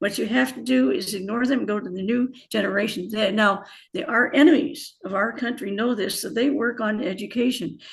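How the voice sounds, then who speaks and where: A somewhat breathy woman's voice, fairly high in pitch, with lively intonation. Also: fairly quick pace. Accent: American. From US Midwest, Indiana. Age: 80s+. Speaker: author and former bio-chemist. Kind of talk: interview.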